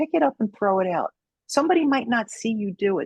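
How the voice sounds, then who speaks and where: A woman with a Brooklyn accent sounds somewhat breathy, her pitch swinging very widely, in a dry, close recording with no echo. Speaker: judo instructor and federal agent. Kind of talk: podcast interview closing remarks.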